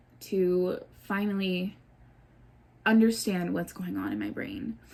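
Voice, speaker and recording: A woman with a medium-pitched, somewhat breathy voice talks at a fairly slow pace. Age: 20s. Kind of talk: casual talk to camera.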